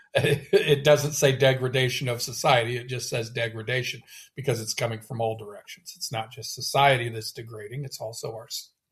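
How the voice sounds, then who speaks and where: With hardly any pauses, a man speaks in a somewhat breathy, medium-pitched voice with monotone, flat intonation. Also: fairly quick pace. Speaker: poetry podcast co-host. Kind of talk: casual discussion of poems. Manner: halting, many restarts.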